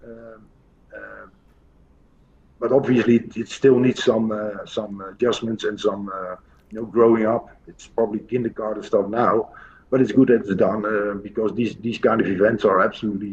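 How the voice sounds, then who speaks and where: A man speaks at a moderate pace in a Dutch accent, his loudness swinging widely. His intonation stays monotone and flat. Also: medium pitch for a man. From Netherlands. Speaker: pool coach. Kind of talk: interview. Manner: halting, many fillers.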